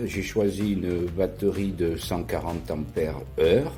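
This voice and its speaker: Noticeable background noise and audible room echo surround a man. He speaks at a very slow pace. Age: 60s. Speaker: customer reviewer, sailor. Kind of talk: product unboxing review. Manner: hesitant with frequent fillers.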